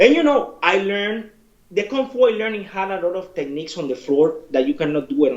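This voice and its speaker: Over noticeable background noise, a man with a Spanish accent speaks with lively intonation. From Cuba. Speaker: martial arts instructor and fighter. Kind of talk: interview.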